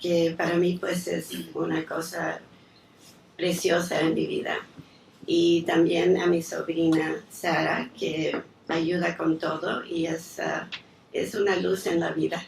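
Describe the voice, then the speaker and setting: A woman at a very slow pace with long, frequent pauses, amid noticeable background noise. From raised abroad as diplomat's daughter (Chile, Yugoslavia, New York, Mexico). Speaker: lawyer, daughter of honoree. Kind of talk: speech of thanks at tribute. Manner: hesitant, with fillers.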